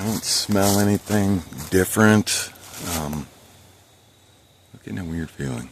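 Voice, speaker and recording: Quiet and very deep, low in pitch, a man speaks at a fairly slow pace with ordinary pitch variation and long, frequent pauses over noticeable background noise. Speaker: bigfoot investigator vlogger. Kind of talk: solo outdoor vlog narration. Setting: outdoors, hiking in woods. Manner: quiet, hushed.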